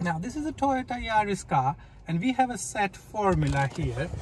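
Light background noise around a man, the sound dry with no echo. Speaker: driving instructor. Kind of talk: tutorial. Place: car. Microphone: phone near.

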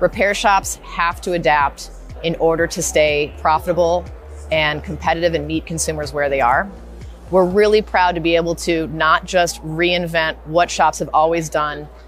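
Faint music plays behind a woman speaking at a moderate pace, the sound dry with no echo. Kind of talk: interview answer. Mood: confident, promotional. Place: hall. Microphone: lapel.

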